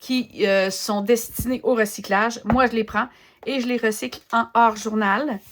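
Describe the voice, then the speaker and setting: Relaxed in tone, a woman with a Quebec accent speaks at a fairly slow pace. Her pitch is fairly high, with ordinary variation. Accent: Québécois French. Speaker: art journaling content creator. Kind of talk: casual craft demo chat. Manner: relaxed, hesitant with many fillers.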